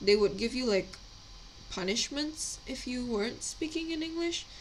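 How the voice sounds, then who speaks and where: Here a woman speaks with lively intonation at a fairly high pitch. Noticeable background noise runs behind her. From Indonesia. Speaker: miniature painting streamer. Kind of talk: casual live-stream chat. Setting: live stream. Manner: hesitant, many fillers.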